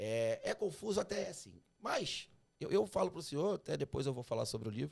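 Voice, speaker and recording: This is a man speaking. He has a slight Carioca accent. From Rio de Janeiro, Brazil. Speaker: tax podcast host. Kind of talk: interview.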